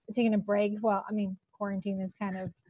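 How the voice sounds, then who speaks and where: With a Californian accent, a woman speaks in a fairly high, somewhat breathy voice. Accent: Californian American English. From Los Angeles. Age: 30s. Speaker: TV talk show host. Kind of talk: casual interview. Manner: animated.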